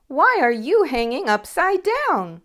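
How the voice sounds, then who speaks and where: A woman does a loud, squeaky put-on character voice. It sits high in pitch with very wide pitch swings. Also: fairly slow pace. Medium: read story.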